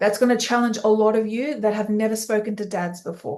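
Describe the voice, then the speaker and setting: A woman with an Australian accent has a fairly high pitch and an energetic tone, moving at a fairly quick pace. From Australia, Sydney. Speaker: business coach for teen coaches. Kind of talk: live webinar training. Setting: live online session.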